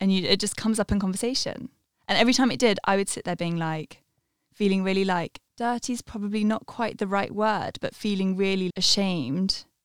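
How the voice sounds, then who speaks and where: A woman's unremarkable speaking voice at medium pitch, fairly quick in pace, with ordinary pitch variation and a dry, close sound with no echo. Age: 20s. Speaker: podcast guest. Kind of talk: casual chat.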